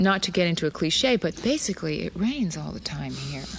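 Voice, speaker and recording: A woman speaks with an American accent. Her pace is moderate. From Arizona, USA. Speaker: dancer and choreographer. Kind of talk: interview answer.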